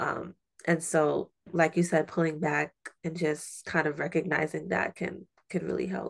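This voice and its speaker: A woman with a very deep, low voice and vocal fry talks at a moderate pace. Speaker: podcast host. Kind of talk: casual conversational interview. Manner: animated, friendly.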